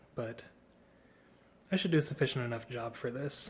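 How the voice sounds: A man puts on a raspy character voice at medium pitch. He goes at a fairly quick pace with ordinary pitch variation.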